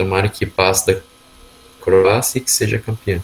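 A man at a fairly slow pace. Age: 20s. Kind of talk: casual chat.

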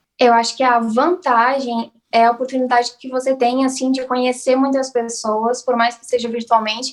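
Delivered in a flat monotone with hardly any pauses, the speech swings widely in loudness. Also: woman, high pitch for a woman, moderate pace. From southern Brazil, Blumenau, Santa Catarina. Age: 20s. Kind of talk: interview.

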